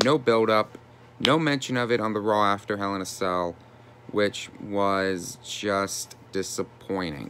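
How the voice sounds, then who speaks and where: With a fairly low pitch, a man talks in an animated tone at a fairly slow pace. His pitch varies in an ordinary way over light background noise. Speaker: YouTuber wrestling commentator. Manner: animated, indignant, exasperated. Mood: frustrated, disappointed. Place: home room. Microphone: phone near.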